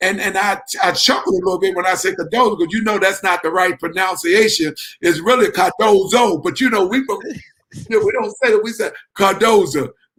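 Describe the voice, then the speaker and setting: A high-pitched man at a fairly quick pace, ordinary pitch variation, music in the background. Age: 60s. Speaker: sports league founder and radio show host. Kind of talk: sports talk radio conversation. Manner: halting, many fillers and repetitions.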